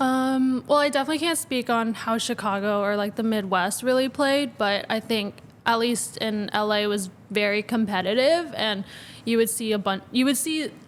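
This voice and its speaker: A woman in a Southern Californian accent speaks at a fairly high pitch and a moderate pace with ordinary pitch variation. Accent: Valley girl. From Southern California, Los Angeles area. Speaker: college volleyball player. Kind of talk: podcast interview.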